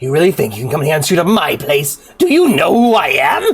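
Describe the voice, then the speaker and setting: A put-on character voice rasps along at a fairly quick pace. Its pitch sits in the middle. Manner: manic.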